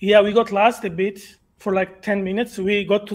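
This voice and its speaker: At a moderate pace, a man with a Georgian accent speaks with a high pitch. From Georgia (country). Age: 20s. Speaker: caller. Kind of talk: call-in question. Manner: halting.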